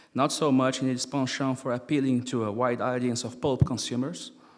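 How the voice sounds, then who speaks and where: Fairly quick male speech at medium pitch with a non-native accent. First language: not English. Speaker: experimental musician and philosopher. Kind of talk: lecture read from paper.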